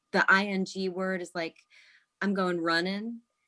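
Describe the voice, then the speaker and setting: A woman with an American accent speaks at a fairly slow pace in a medium pitch, her intonation monotone and flat. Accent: slight Midwest, mostly trained out. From US Midwest. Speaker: actress. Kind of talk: interview.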